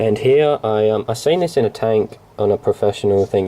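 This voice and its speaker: Noticeable background noise sits behind a man with an Australian accent. His fairly low pitch has ordinary variation. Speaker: hobbyist vlogger. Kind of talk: casual explanation to camera. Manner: halting, many fillers.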